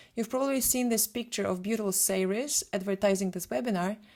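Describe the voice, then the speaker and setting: A woman speaks with a Polish accent. Her pitch is fairly high, with ordinary pitch variation. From Poland. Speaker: photographer and retoucher. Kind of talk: webinar presentation.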